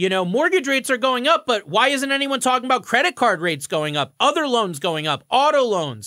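A man's raised, projected voice at an extremely high pitch, upbeat and enthusiastic in tone, with very wide pitch swings and a fairly quick pace, in a very clean recording with a silent background. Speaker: mortgage broker and podcast host. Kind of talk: radio show talk, informative and conversational. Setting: radio show studio. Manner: upbeat, fluent, enthusiastic.

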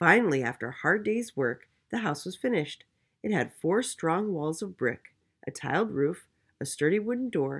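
Someone is reading aloud in a natural voice, with lively intonation. The background is quiet.

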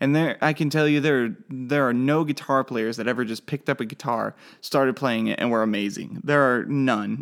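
A man speaks with an American accent and ordinary pitch variation on a very clean recording with a silent background. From Oklahoma. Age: 20s. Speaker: podcaster learning web development. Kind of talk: solo podcast monologue. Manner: casual, halting with fillers.

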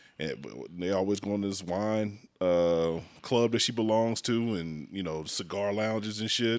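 The pace is moderate. Pitch variation is ordinary. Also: man, fairly low pitch for a man. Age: 40s. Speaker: podcast co-host. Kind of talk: casual chat.

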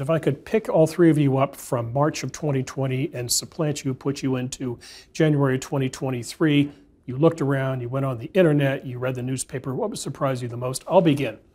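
A man talks at a fairly quick pace in a fairly high, somewhat breathy voice with ordinary pitch variation. The recording is very clean, with a silent background. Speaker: moderator. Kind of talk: panel discussion. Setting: studio. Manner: fast talker.

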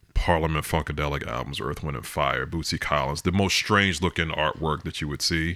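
In an American accent, a man with a very deep, low voice and a bright, sharp tone talks with vocal fry and fairly even intonation, hardly pausing at all. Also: fairly quick pace. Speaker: parent. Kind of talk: casual chat.

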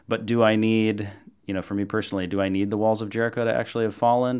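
Recorded very cleanly against a silent background, a man with an American accent speaks in a monotone, flat intonation. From US Midwest. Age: 30s. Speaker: podcast host. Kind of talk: interview conversation.

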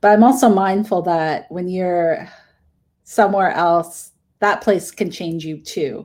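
A plain, everyday voice: a woman with a Canadian accent, medium in pitch, with ordinary pitch variation and a fairly slow pace, on a very clean recording with a silent background. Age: middle-aged. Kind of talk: interview.

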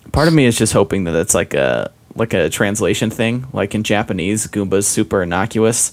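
Over noticeable background noise, a man with an American accent talks at a fairly quick pace and fairly low pitch, with ordinary pitch variation and hardly any pauses. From Utah. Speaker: podcast guest, gamer friend. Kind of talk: casual chat.

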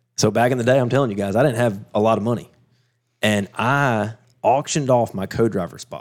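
In a Southern US accent, a man speaks at a medium pitch with ordinary pitch variation. His pace is fairly quick, and the recording is very clean with a silent background. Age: 40s. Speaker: off-road racer. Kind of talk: casual chat.

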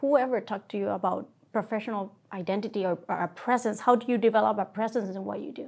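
Very fast with hardly any pauses, a woman talks at a fairly high pitch with ordinary pitch variation, vocal fry and big swings in loudness, on a very clean recording with a silent background. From Puerto Rico. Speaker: surgeon. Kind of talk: interview.

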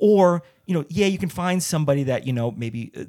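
A man with an American accent speaks fairly quickly, his tone dark and mellow. His intonation is lively, and the recording is very clean with a silent background. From New Jersey. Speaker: stand-up comedian and actor. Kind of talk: casual interview chat. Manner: fast.

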